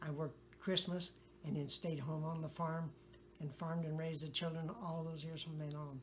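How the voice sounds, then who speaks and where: A woman's very deep, low voice with an American accent, monotone, flat intonation and a moderate pace over noticeable background noise. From US Midwest, west-central Illinois. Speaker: retired farmer. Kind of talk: oral history interview. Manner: halting.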